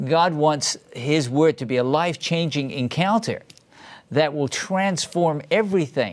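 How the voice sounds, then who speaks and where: Lively intonation marks this man's fairly high voice. It is an unremarkable speaking voice. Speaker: ministry talk show host. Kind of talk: interview.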